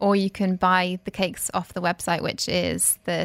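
A British-accented voice with vocal fry, at a moderate pace. The recording is very clean and dry, close-up with no echo and a silent background. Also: woman. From UK. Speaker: cake artist. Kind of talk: radio interview. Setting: radio studio.

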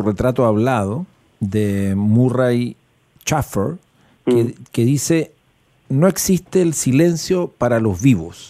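With a dark, mellow tone, a man speaks at a fairly slow pace, his loudness very even and his intonation lively. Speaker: radio host. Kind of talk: casual chat.

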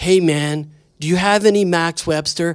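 A put-on character voice at a middle pitch delivers the lines at a moderate pace.

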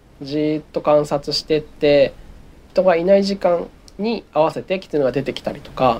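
A man speaks at a moderate pace with a fairly high pitch and ordinary pitch variation. His loudness swings widely. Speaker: wildlife photographer. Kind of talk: interview. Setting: remote recording.

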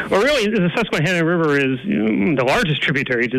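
A man with an American accent at a fairly quick pace over noticeable background noise. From northeastern Pennsylvania. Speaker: environmental advocacy director. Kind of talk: interview.

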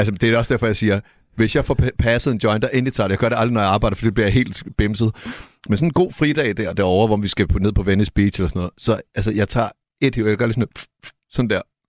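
A man's fairly low voice at a very fast pace with ordinary pitch variation, a dry, close sound with no echo, and a very clean recording with a silent background. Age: young. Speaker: rapper and music producer. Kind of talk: casual chat.

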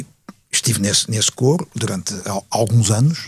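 A man's somewhat breathy voice moves at a moderate pace, the sound dry and close with no echo. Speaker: veteran journalist. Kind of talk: panel discussion. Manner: halting, repeats words.

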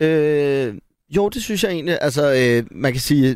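In a normal speaking voice, a man talks at a fairly slow pace with lively intonation on a very clean recording with a silent background. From Denmark, Gladsaxe near Copenhagen. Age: 30s. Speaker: actor. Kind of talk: casual chat.

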